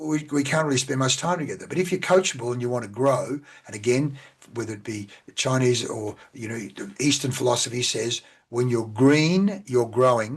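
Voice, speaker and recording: A man with an Australian accent talks at a medium pitch and a moderate pace. His voice is somewhat breathy, with ordinary pitch variation. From Australia, central Victoria. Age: 60s. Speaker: business coach. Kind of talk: podcast interview.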